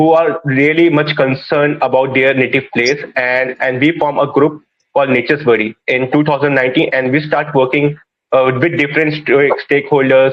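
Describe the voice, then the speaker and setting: A man's fairly high, monotone, flat voice at a moderate pace, with very even loudness. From India, Uttarakhand (Pauri). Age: 20s. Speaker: wildlife conservationist. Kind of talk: panel discussion. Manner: halting.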